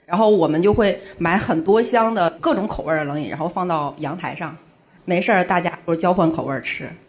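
The speaker talks at a fairly quick pace. Noticeable background noise can be heard. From Heilongjiang, northeast China. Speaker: comedian. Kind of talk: casual chat. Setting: stage with audience.

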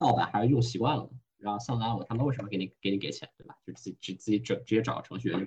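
This man's somewhat breathy voice sits at a medium pitch and moves at a fairly quick pace. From Hong Kong. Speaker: venture investor. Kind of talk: casual interview. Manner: code-switching with English phrases.

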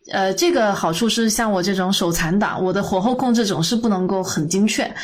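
Her intonation fairly even, a woman speaks with noticeable background noise and audible room echo. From Guangdong, China. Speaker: podcast co-host. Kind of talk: casual chat.

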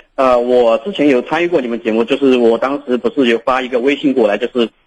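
Very fast speech in a southern Jiangsu-Zhejiang accent. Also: man. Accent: Mandarin with southern Jiangsu-Zhejiang tint. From Shaanxi. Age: 20s. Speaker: caller. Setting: phone call.

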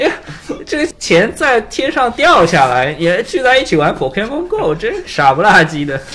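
Over noticeable background noise, a man talks at a fairly slow pace in a high voice that swings very widely in pitch. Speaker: IT worker. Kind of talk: casual chat.

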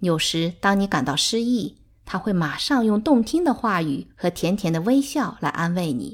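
In a very clean recording with a silent background, a woman with a calm tone speaks at medium pitch with very wide pitch swings. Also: moderate pace. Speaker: audiobook narrator. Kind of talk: literary audiobook reading. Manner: measured, calm storytelling pace.

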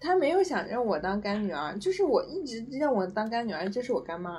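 A somewhat breathy woman at a fairly quick pace. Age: 20s. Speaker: podcast guest sharing personal love story. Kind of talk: casual interview chat. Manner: hesitant, many fillers.

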